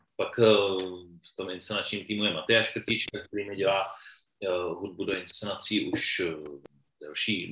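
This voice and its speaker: A man is speaking. His pace is moderate. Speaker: theatre director. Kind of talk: interview. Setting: video call.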